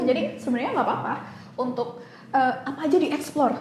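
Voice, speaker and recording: Talking at a very fast pace, a woman with a high voice and ordinary pitch variation is heard over noticeable background noise and audible room echo. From Indonesian village, moved to Jakarta. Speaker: public speaking coach. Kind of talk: casual chat. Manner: fluent.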